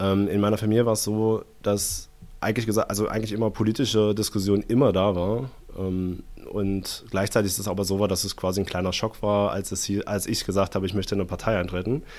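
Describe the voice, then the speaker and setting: Very fast and monotone, a man speaks with fairly low pitch and flat intonation on a very clean recording with a silent background. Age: 20s. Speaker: economist and party activist. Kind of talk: casual interview conversation.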